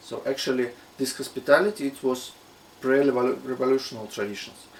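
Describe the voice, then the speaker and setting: A man speaks with a Russian accent. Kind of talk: casual talk to camera.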